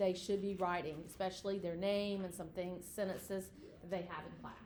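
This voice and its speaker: A woman speaks at a moderate pace with a medium pitch. The room's echo is audible. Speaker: educator. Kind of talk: informational presentation.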